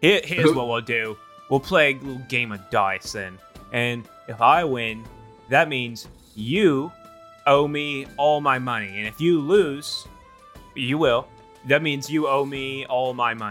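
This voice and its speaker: A man's medium-pitched voice with ordinary pitch variation, at a fairly slow pace with long, frequent pauses, over clear music in the background. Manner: belligerent, threatening.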